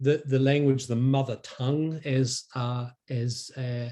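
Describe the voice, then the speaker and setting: Speaking with a New Zealand accent, a man uses a medium pitch and a monotone, flat intonation, his voice somewhat breathy. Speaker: academic researcher. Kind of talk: academic talk. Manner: halting, many fillers and repetitions.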